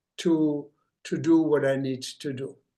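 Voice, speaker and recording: A man with a German accent speaks in a dark, mellow tone. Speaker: obstetrician. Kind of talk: lecture. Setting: grand rounds presentation.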